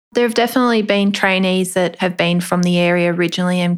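In an Australian accent, a woman speaks at a fairly low pitch. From Australia, Melbourne northern suburbs. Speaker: rural doctor. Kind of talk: interview.

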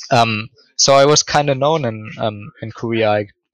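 A man with a German accent, at a moderate pace, with fairly even intonation. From Germany, Ruhr area. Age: 20s. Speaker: esports analyst. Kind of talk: casual interview chat.

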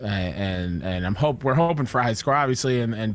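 At a very fast pace, a man of medium pitch talks with ordinary pitch variation. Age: 30s. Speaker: co-host, gaming podcaster. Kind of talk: casual chat, podcast.

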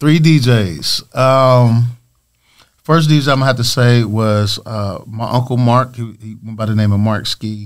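A man with an American accent uses a plain, everyday voice at medium pitch. He talks at a fairly slow pace with ordinary pitch variation. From Michigan (Lansing). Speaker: radio and club DJ. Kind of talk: casual interview. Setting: studio.

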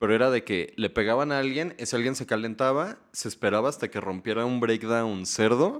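A man has a normal speaking voice at medium pitch, with ordinary pitch variation and a fairly quick pace with hardly any pauses. The recording is very clean, with a silent background. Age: 20s. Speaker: musician. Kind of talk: casual chat.

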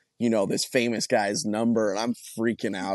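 A man with an American accent speaks in a normal speaking voice at medium pitch. The sound is dry and close, with no echo. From Colorado. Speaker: country singer. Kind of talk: interview.

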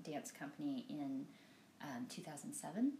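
Somewhat breathy, a woman's voice carries a dark, mellow tone and very wide pitch swings. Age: 40s. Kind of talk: casual interview.

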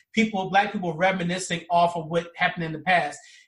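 Pitched high, a man talks fairly quickly. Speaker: podcast host. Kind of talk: casual book discussion. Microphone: poor volume, sound not checked.

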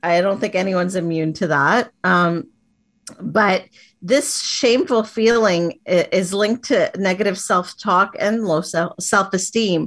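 Over a quiet background, a woman with a plain, everyday voice talks at a fairly slow pace in a medium pitch, with ordinary pitch variation and very even loudness. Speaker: life empowerment coach. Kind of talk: coaching talk in interview.

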